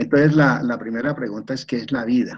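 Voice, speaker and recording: Medium in pitch, a man speaks with lively intonation and a dark, mellow tone. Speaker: retired professor, systems engineer. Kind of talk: online seminar lecture. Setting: video call. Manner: halting, with repetitions.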